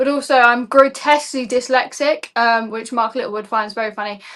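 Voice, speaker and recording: Against a quiet background, a woman speaks with a high pitch. Her intonation is monotone and flat, and her tone is bright and sharp. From Essex, England. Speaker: campaigner taking legal action. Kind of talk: political talk show interview. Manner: passionate, rhetorical.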